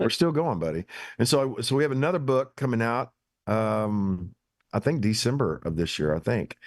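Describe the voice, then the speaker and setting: Here is a man with an American accent at a medium pitch. His pitch swings very widely. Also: moderate pace, quiet background. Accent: hillbilly. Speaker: pastor. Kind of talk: casual chat. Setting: barn.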